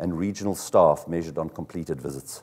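A man speaks at a fairly quick pace in a very deep, low voice. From South Africa. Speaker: car dealership executive; conference presenter. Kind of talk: conference talk. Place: hall.

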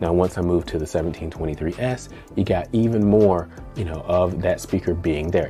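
Moderate pace and ordinary pitch variation over faint music in the background. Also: man. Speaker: home theater reviewer. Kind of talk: review commentary. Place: home room.

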